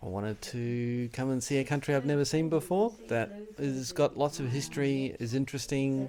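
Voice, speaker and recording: Noticeable background noise sits behind a man with an Australian accent. He speaks at medium pitch and a moderate pace, with ordinary pitch variation. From Australia, Melbourne. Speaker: tourist, scientist. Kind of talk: street interview. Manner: casual, hesitant with fillers.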